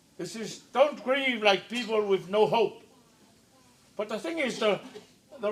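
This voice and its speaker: A man with a Samoan accent speaks at a fairly slow pace in a high voice, his intonation lively, over noticeable background noise and audible room echo. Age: 70s. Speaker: preacher. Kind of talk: sermon.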